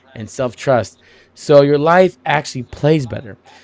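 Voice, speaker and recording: A man's animated voice at a moderate pace, ordinary pitch variation, and a very clean recording with a silent background. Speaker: podcast host. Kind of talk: casual chat. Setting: livestream while gaming. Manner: loud.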